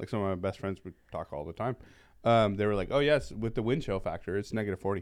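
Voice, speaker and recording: On a very clean recording with a silent background, a man speaks at a very fast pace. His voice is fairly low, with ordinary pitch variation. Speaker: podcast host. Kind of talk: casual chat.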